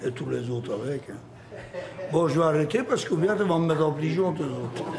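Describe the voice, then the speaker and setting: A man's fairly high voice moves at a fairly quick pace with lively intonation, while noticeable background noise and audible room echo surround it. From Flanders, Belgium. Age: 70s. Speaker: retired bricklayer, café patron. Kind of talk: casual chat.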